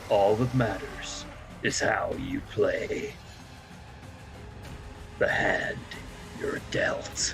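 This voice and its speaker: A man puts on a character voice and speaks at a very slow pace. Background noise is clearly heard. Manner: dramatic.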